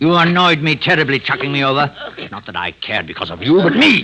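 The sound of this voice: In a put-on character voice, a man speaks at a fairly quick pace and medium pitch, with big pitch swings, a bright, sharp tone and a slightly husky edge.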